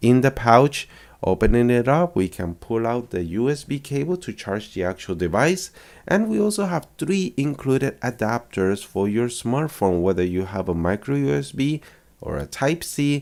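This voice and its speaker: In an upbeat tone, a man speaks at medium pitch with very wide pitch swings and a moderate pace. The recording is very clean, with a silent background. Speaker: tech reviewer. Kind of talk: product review. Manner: casual, upbeat.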